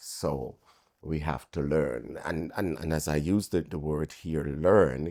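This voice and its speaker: A man speaks with a very deep, low pitch and vocal fry in a dark, mellow tone. His pace is very slow and his intonation fairly even. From Jamaica. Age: 60s. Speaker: pastor. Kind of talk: interview.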